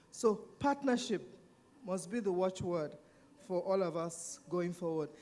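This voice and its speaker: The speaker has a Nigerian accent. The pace is fairly slow. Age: 70s. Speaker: panelist and civil society activist. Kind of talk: panel discussion.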